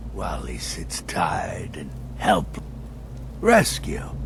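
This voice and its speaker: Against loud background noise, a man uses a put-on character voice at a very slow pace. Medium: video game. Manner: desperate, repeating himself.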